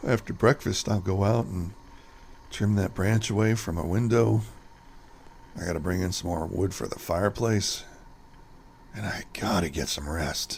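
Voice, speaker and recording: In a put-on character voice, a man with a very deep, low pitch sounds raspy and nervous, speaking at a moderate pace with ordinary pitch variation and long, frequent pauses over clear background noise. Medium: audio drama. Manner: talks to himself, nervous little laughs.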